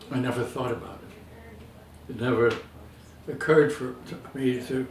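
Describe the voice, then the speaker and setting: Amid noticeable background noise and audible room echo, a man at medium pitch speaks at a moderate pace with monotone, flat intonation and big swings in loudness. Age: 80s+. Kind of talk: casual chat.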